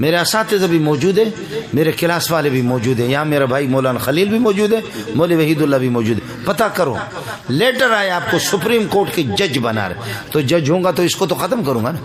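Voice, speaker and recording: With noticeable background noise behind him, a man speaks at a moderate pace in a fairly high voice, his tone animated and his pitch swinging very widely. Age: 50s. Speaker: Islamic cleric. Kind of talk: religious speech.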